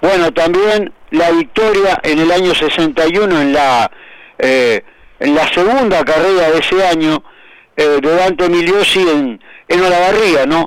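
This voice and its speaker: At a very slow pace, a man talks in a high pitch, his loudness very even and his pitch variation ordinary. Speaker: motorsport historian. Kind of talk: radio segment, historical recollections.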